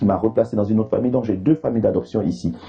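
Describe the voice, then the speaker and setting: Through noticeable background noise, a man's voice moves in very wide pitch swings. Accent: Ivorian. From Ivory Coast. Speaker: comedian. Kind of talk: interview.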